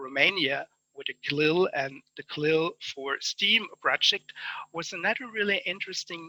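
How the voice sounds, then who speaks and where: This man has a German accent and a bright, sharp tone, speaking at a fairly slow pace with a fairly high pitch, the sound dry and close with no echo. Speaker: conference speaker. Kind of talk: conference summary talk. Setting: online conference.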